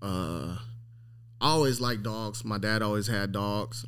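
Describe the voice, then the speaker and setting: Fairly low in pitch, a man with an American accent speaks fairly slowly with fairly even intonation. Audible room echo surrounds the voice. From Long Beach, California. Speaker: dog breeder. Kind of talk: casual interview.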